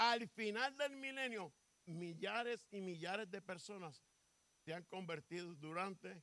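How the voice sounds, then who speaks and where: A man's bright, sharp tone, high in pitch, at a fairly slow pace with very wide pitch swings. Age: 70s. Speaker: pastor. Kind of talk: sermon.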